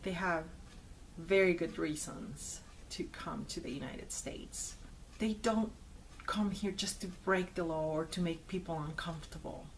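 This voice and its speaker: There is audible room echo as a woman speaks at a medium pitch and a moderate pace. Her voice is somewhat breathy, with ordinary pitch variation. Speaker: video blogger. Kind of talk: personal commentary to camera.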